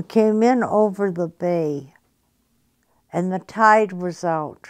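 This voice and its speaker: Over a very clean, silent background, a woman speaks at a very slow pace with ordinary pitch variation. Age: 80s+. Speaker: war veteran. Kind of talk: interview answer.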